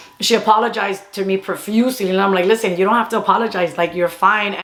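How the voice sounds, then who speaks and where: A woman's animated voice at a very fast pace, with noticeable background noise. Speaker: YouTuber and comedy content creator. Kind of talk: casual storytime monologue.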